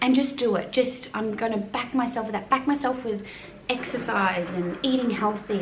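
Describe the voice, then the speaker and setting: A fairly high-pitched woman with an Australian accent and ordinary pitch variation, at a moderate pace, amid noticeable background noise and audible room echo. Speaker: mum vlogger. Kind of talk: casual chat.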